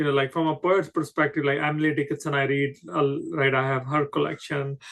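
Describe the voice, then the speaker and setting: With a Punjabi accent, a man talks at a moderate pace in a fairly high pitch, his tone bright and sharp and his intonation fairly even. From Himalayan region of India. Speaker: podcast host and poet. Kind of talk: interview. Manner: halting, many fillers.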